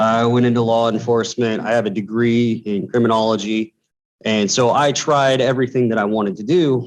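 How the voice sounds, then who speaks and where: A man talks in a normal speaking voice at a medium pitch and fairly quick pace, his intonation fairly even and his loudness very even. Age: 30s. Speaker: electrical apprentice. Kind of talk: panel discussion.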